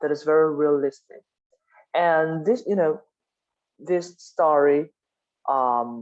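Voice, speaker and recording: Speaking with a non-native accent, the voice goes at a very slow pace with long, frequent pauses. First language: not English. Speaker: class discussion leader. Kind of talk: book club discussion. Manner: halting.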